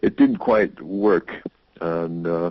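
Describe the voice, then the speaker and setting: A man with an American accent. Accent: American, noticeable to British listeners. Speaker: sound healing teacher and musician. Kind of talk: interview. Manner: halting with false starts.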